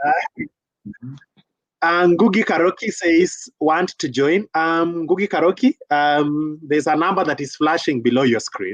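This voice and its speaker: A high-pitched man at a fairly slow pace, with ordinary pitch variation and a dry, close sound with no echo. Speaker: talk show host. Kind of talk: live show chat reading viewer comments. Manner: casual, playful.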